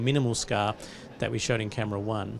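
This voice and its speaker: A man talks at a very fast pace with fairly even intonation. Light background noise is present. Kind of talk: interview answer. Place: studio. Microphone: handheld.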